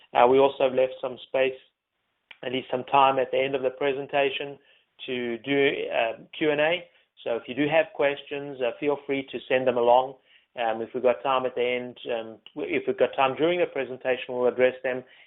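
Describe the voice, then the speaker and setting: In a South African accent, a man speaks at a medium pitch with monotone, flat intonation. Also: moderate pace. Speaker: information security executive and panel moderator. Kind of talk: webinar panel moderation. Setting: webinar. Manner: hesitant with many fillers.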